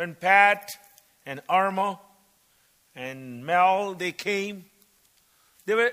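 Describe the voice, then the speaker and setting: In a raised, projected voice, a man with a high pitch and a bright, sharp tone speaks at a very slow pace. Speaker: visiting preacher and missionary. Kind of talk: sermon. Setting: church service.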